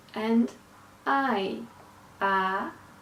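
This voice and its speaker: This is a woman with a medium pitch. Noticeable background noise can be heard. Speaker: accent coach. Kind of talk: educational accent-training lesson.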